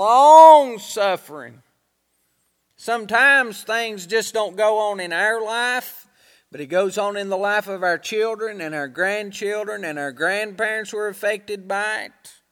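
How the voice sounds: The man's pitch is high for a man, and he speaks at a fairly slow pace with a fairly bright, clear, smooth tone and ordinary pitch variation.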